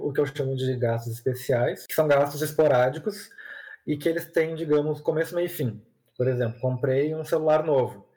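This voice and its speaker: Fairly high in pitch, a man's somewhat breathy voice has a dark, mellow tone and fairly even intonation. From southern Brazil, Porto Alegre. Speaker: content creator on personal finance. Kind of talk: podcast interview. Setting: remote recording over the internet.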